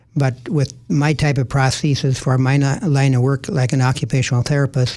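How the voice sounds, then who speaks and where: Somewhat breathy and with an Upper Midwest accent, the speaker talks at a moderate pace with fairly even intonation. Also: man. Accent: Upper Midwest American. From Minnesota. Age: 80s+. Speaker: retired occupational therapist and community volunteer. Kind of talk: radio interview. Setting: radio studio. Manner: hesitant, many fillers.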